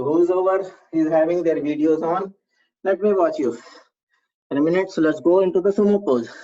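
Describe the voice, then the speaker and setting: The speech has an Indian accent and a fairly quick pace. Long, frequent pauses break it up. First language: Hindi. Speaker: yoga instructor. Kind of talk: online fitness class instruction.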